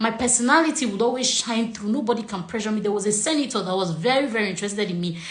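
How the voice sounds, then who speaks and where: A very fast, animated woman with a Nigerian accent, fairly high pitch, ordinary pitch variation and hardly any pauses, noticeable background noise around her. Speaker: relationship coach. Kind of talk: casual chat. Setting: video call.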